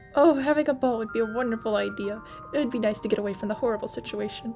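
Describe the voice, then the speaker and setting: A woman talks at a very fast clip with music playing in the background. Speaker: let's play gamer. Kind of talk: reading game dialogue aloud.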